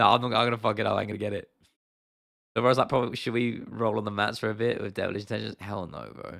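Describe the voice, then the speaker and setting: A man with a British accent speaks at a very fast pace, his pitch fairly low and touched with vocal fry. The recording is very clean, with a silent background. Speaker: MMA YouTuber. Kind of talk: livestream chat. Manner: animated.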